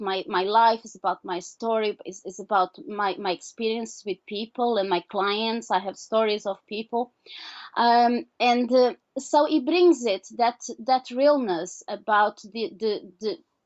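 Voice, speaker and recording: A woman speaks with a Portuguese accent at a fairly high pitch. Her loudness swings widely while her pitch varies in an ordinary way. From Portugal. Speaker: author and healer. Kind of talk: interview. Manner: halting, many repetitions.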